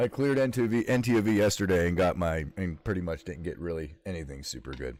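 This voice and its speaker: Speaking at a very fast pace, a man's very deep, low voice carries vocal fry. His pitch swings very widely. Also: very clean recording, silent background. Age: 40s. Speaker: video game streamer. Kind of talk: casual live gameplay chat. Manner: casual, profane.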